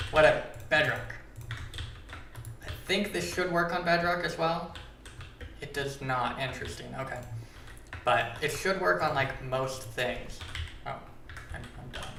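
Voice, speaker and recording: A man with a fairly high pitch speaks slowly, his intonation lively and broken by long, frequent pauses. Audible room echo and noticeable background noise surround him. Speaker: Minecraft data pack creator, streamer. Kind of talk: live stream tutorial. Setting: live stream. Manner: casual, filler-heavy. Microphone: echoey audio.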